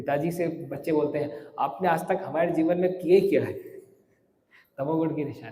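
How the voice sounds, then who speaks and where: A man talks at a moderate pace with a fairly high pitch. His intonation is fairly even, and the room echo is audible. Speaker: monk and spiritual teacher. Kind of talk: religious lecture. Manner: clear articulation; conversational.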